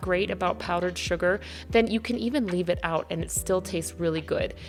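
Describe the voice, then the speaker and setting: Her words come at a fairly quick pace as a woman speaks. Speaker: cooking channel host. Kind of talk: recipe tutorial voiceover. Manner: fast.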